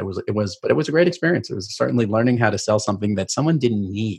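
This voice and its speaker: A man with a New York accent talks very fast in a fairly low, somewhat breathy voice with lively intonation. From New York, Queens (Rockaway Beach). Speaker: keynote speaker and sales mentor. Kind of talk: interview conversation. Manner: animated.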